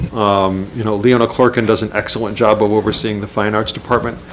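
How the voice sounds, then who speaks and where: A man's medium-pitched voice at a fairly quick pace over noticeable background noise. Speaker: school superintendent. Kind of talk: budget presentation at public meeting. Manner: fast.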